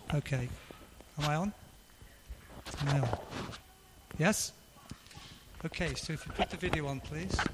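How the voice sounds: At a fairly slow pace, a man talks in a fairly high pitch with ordinary pitch variation and long, frequent pauses.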